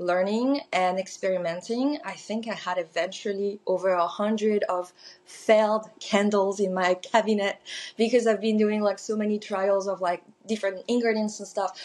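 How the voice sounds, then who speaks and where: This woman's voice sits at a medium pitch with fairly even intonation. She speaks at a moderate pace. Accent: French. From southern France. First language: French. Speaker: small business owner, candle maker. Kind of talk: podcast interview.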